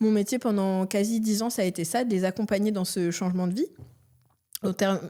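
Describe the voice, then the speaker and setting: A woman with an ordinary speaking voice talks at a fairly quick pace and medium pitch, her loudness very even and her intonation fairly even. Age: 30s. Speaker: entrepreneur. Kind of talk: podcast interview. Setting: studio with cameras. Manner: casual, lots of fillers.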